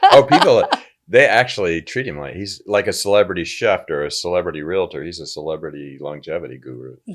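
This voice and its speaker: The delivery races along at a very fast pace. A man is speaking, his volume swinging sharply. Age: 70s. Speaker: entrepreneur and journalist. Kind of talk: casual chat. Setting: studio.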